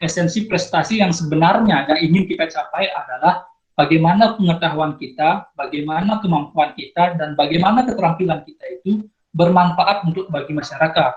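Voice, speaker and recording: With a strong Balinese accent, a man talks at a fairly quick pace in a high pitch, using ordinary pitch variation. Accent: Nusa Penida (Balinese) accent, thick. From Nusa Penida, Bali, Indonesia. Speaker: outstanding student sharing experience. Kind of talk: sharing session talk to students. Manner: halting, many fillers and restarts.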